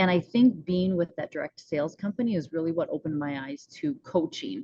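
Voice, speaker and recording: Somewhat breathy and at a medium pitch, a woman with an American accent speaks at a moderate pace, her pitch swinging very widely. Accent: North Dakota accent, noticed by others. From US Upper Midwest, northwest North Dakota. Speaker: rancher and mindset coach. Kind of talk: podcast interview.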